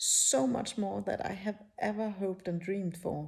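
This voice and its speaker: A woman with a non-native accent has a dark, mellow tone that is somewhat breathy. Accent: non-native English, rusty. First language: not English. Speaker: spiritual teacher, YouTuber. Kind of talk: casual personal talk to camera. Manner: halting, many fillers.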